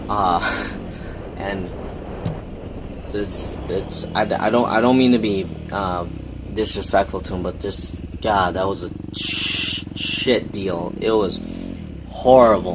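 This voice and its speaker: Delivered at a very slow pace with long, frequent pauses and ordinary pitch variation, the speech carries noticeable background noise and audible room echo. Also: man, fairly low pitch for a man. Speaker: motocross vlogger. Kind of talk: casual vlog talk. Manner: hesitant, many fillers.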